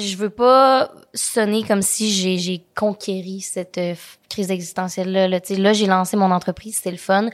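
In a very clean recording with a silent background, a woman with a normal speaking voice talks at a fairly slow pace, her medium pitch and intonation fairly even. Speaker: content creator and entrepreneur. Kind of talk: interview. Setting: studio.

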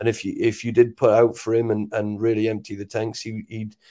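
In a Welsh accent, a man speaks at a moderate pace and medium pitch, his dark, mellow tone held in a monotone, flat intonation on a very clean recording with a silent background. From Wales. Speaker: rugby sevens coach. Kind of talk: interview. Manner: halting, many repeated words.

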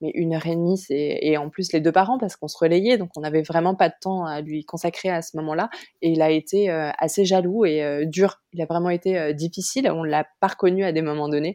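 The voice has a dark, mellow tone and moves at a fairly quick pace with hardly any pauses. The background is quiet. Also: woman, fairly low pitch for a woman, fairly even intonation. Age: 30s. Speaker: mother of two, starting online clothing shop. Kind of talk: testimony. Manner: hesitant.

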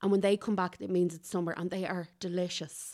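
On a very clean recording with a silent background, a woman at medium pitch talks at a fairly quick pace. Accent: Irish. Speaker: podcast co-host, food reviewer. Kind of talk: casual chat. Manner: animated.

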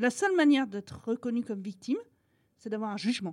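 High pitch and very wide pitch swings from a woman. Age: 40s. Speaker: association vice-president, mother. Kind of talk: testimony. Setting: hotel room.

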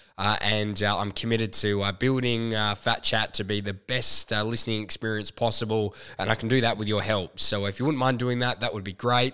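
With an Australian accent and a bright, sharp tone, a man speaks at a fairly quick pace with hardly any pauses, his fairly low pitch held in monotone, flat intonation. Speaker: podcast host and fitness trainer. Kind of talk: podcast intro and promo; casual interview.

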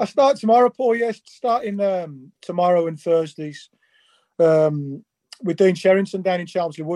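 In a Birmingham accent, a man speaks with a high pitch and a dark, mellow tone. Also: ordinary pitch variation, moderate pace. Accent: Birmingham (Brummie). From England, Birmingham. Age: 40s. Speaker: former footballer. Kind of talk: casual chat.

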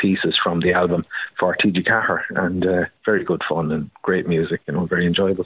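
In an Irish accent, a man speaks with very deep, low pitch. His intonation is monotone and flat, and his pace is moderate. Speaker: uilleann piper. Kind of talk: interview.

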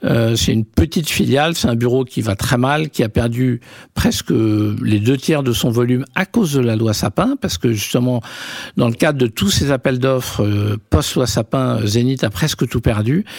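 A man's unremarkable speaking voice at medium pitch, very even in loudness, with a dry, close sound and no echo. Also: ordinary pitch variation, moderate pace. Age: 50s. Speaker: media entrepreneur. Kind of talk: interview. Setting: office.

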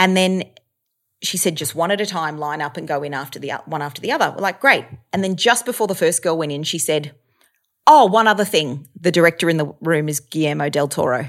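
In a very clean recording with a silent background, a woman with an Australian accent speaks at a fairly quick pace, her fairly low pitch showing ordinary variation. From Australia, Melbourne. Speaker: actor and stand-up comedian. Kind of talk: casual chat. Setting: apartment.

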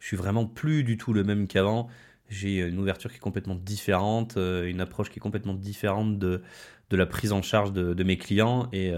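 A man with a plain, everyday voice talks at a fairly low pitch and a fairly quick pace. His intonation stays fairly even, and the recording is very clean with a silent background. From France, Haute-Loire. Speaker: nutrition and wellness coach. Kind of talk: podcast monologue. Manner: casual, with frequent fillers.

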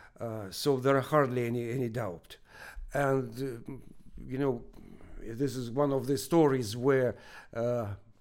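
Fairly even intonation marks this man's speech, delivered at a moderate pace with a Russian accent. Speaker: research professor. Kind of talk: interview. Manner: halting.

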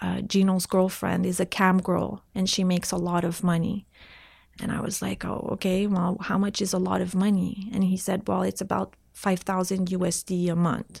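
A woman's medium-pitched, somewhat breathy voice in a French Canadian accent, moderate in pace, with monotone, flat intonation. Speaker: entrepreneur, website co-founder. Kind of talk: interview.

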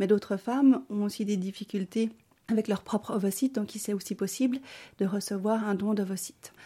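Her voice is dark and mellow in tone. The woman also sounds somewhat breathy. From Bolivia, then Switzerland from age 8. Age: 40s. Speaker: social worker. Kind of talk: personal testimony interview. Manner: hesitant, with frequent fillers.

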